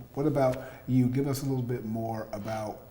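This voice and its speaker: A man at a medium pitch speaks with fairly even intonation, amid noticeable background noise and audible room echo. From US South, Atlanta. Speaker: podcast host. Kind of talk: interview.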